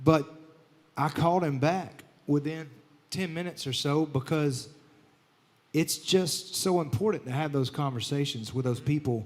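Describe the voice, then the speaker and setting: The speaker has a Southern US accent and a fairly slow pace. Long, frequent pauses break up speech with ordinary pitch variation. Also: man, fairly high pitch for a man. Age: 30s. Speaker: country singer and show host. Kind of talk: casual chat.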